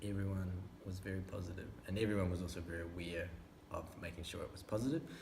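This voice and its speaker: A man with a New Zealand accent talks at a very fast pace. His pitch is very deep and low, and his intonation fairly even. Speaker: filmmaker. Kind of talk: interview answer. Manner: thoughtful.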